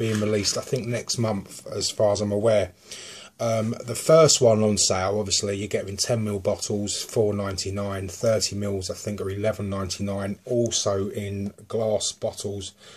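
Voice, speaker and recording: A man's somewhat breathy, fairly low voice in a southern English accent, monotone and flat at a moderate pace. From southern England. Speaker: vape juice reviewer. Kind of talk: product review. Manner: casual, hesitant with many ums.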